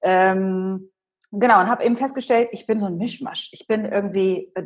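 Somewhat breathy, a woman speaks at a moderate pace in a fairly high pitch. Her intonation is lively. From Germany, Hannover. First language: Polish (speaking German). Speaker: personal branding expert and speaker. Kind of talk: interview.

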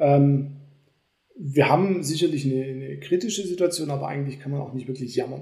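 The voice has a dark, mellow tone and is somewhat breathy, with ordinary pitch variation. Audible room echo surrounds it. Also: man. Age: 40s. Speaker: company executive. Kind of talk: casual chat.

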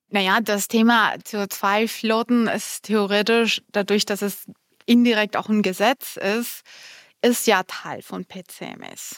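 On a very clean recording with a silent background, dry and close with no echo, a woman with a Spanish accent speaks very slowly in a fairly high voice with monotone, flat intonation. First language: Spanish (speaking German). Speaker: compliance department head. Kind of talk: interview.

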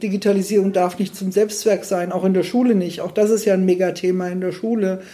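This is a woman speaking. Her intonation is monotone and flat. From Fulda, Hesse, Germany. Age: 60s. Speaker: school principal. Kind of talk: interview.

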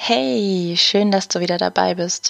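A woman with a gentle tone speaks at a medium pitch with ordinary pitch variation. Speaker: podcast host and meditation guide. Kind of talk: guided meditation. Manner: gentle, soft-spoken, with long pauses.

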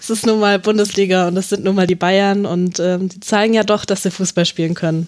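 A woman talks at a fairly quick pace and a medium pitch, with hardly any pauses. Her intonation is monotone and flat. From Hanover, Germany. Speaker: freelance sports journalist. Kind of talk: casual football analysis chat. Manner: hesitant, many fillers.

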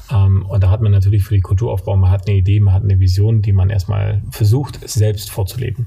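Amid noticeable background noise, a man speaks very fast with a fairly low pitch, fairly even intonation and very even loudness. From Allgäu, southern Germany. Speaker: company co-founder. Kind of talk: interview. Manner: hesitant, many filler sounds.

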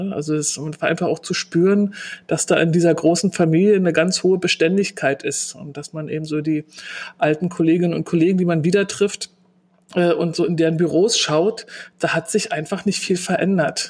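A woman speaks with a Berlin accent at a moderate pace. Her pitch sits fairly low. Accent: Berlin dialect, audible. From Berlin, Germany. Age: 40s. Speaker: customer service manager. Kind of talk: interview.

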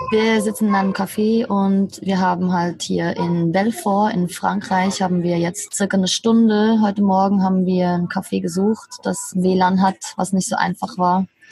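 Speech comes at a fairly slow pace with monotone, flat intonation, very even loudness and hardly any pauses, over noticeable background noise. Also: woman, medium pitch for a woman. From Switzerland. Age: 30s. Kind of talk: casual interview. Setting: video call from a café.

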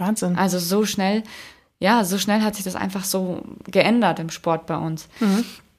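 A woman's medium-pitched voice, a plain, everyday voice, at a fairly slow pace with fairly even intonation. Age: 20s. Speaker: Paralympic swimmer. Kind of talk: interview.

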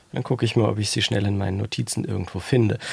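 A man amid noticeable background noise. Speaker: podcast producer and co-host. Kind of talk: casual chat.

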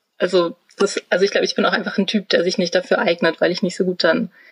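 A somewhat breathy woman speaks at a medium pitch with ordinary pitch variation on a very clean recording that has a dry, close sound, no echo and a silent background. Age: 30s. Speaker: trainee media designer. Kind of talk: interview.

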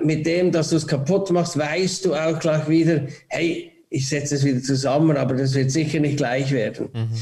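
A man at a fairly high pitch, with fairly even intonation, very even loudness and hardly any pauses, amid noticeable background noise and audible room echo. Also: moderate pace. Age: 40s. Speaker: airport ground-handling CEO. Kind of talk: casual interview. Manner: halting, many repetitions.

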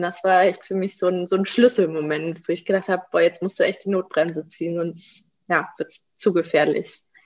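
A woman's monotone, flat delivery moves along at a moderate tempo. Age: 20s. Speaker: social worker and eating disorder counsellor. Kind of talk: interview.

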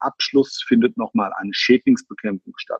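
His pace is moderate. The man's pitch moves through very wide swings. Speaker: crime scene cleaner, business owner. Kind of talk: interview.

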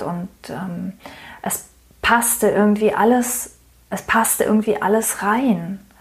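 A woman's medium-pitched voice holds fairly even intonation while noticeable noise sounds in the background. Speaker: podcast host, marketing coach. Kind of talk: solo podcast monologue. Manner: hesitant with many fillers.

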